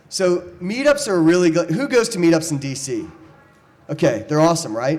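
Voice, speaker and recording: Audible room echo and noticeable background noise both color the man's speech. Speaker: startup speaker at panel event. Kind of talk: conference presentation with slides. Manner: fast.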